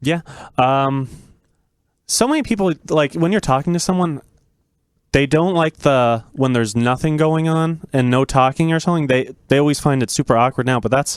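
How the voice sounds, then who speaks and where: In a very clean recording with a silent background, a man talks at a moderate pace. His loudness is very even and his pitch variation ordinary. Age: 20s. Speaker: young guest. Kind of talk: casual interview chat. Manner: calm.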